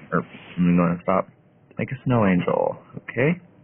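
A man talks at a moderate pace with very wide pitch swings, over noticeable background noise. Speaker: gaming YouTuber. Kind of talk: gameplay commentary. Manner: animated.

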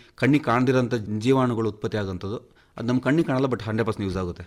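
A man talks at a medium pitch with fairly even intonation, in an ordinary speaking voice. The recording is very clean and the background silent. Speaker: coffee farmer. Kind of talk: radio interview.

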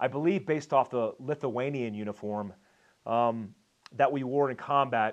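A man's pitch varies in an ordinary way as he talks at a moderate pace over a quiet background. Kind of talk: casual vlog chat. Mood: nostalgic, warm. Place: home room. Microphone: lapel.

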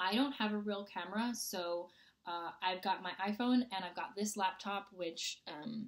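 With lively intonation and a moderate pace, a woman talks over a quiet background. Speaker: fitness vlogger. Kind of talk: casual vlog chat. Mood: upbeat, playful. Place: home room. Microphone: webcam.

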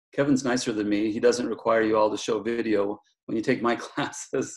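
A man talks at a very fast pace while the background stays quiet. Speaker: guest professor. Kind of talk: casual lecture intro. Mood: joking, friendly. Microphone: video call.

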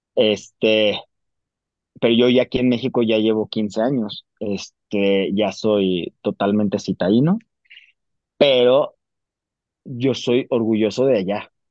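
A man with a Mexican accent at a medium pitch, with fairly even intonation, a very slow pace and long, frequent pauses. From Mexico (Jalisco). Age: 40s. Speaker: actor. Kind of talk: casual interview.

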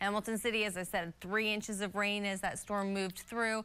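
A woman's bright, sharp voice at a fairly quick pace, flat and monotone in intonation. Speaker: TV weather forecaster. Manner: calm, conversational and steady, with frequent 'uh' fillers while explaining the maps. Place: studio.

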